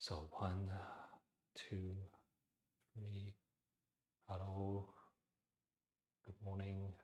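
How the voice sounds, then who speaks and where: In a put-on character voice, someone whispers breathily at a very slow pace with long, frequent pauses. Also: man. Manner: whispering, breathy.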